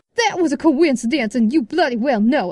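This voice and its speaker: In a put-on character voice, a female-sounding voice talks high-pitched for a woman at a fairly quick pace. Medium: audio drama.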